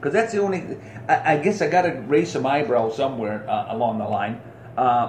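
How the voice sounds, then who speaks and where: A man with a fairly high voice talks at a fairly quick pace, his pitch swinging very widely. Room echo is audible, and there is noticeable background noise. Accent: American. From United States. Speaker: podcast host, veteran. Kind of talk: casual podcast monologue. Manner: animated.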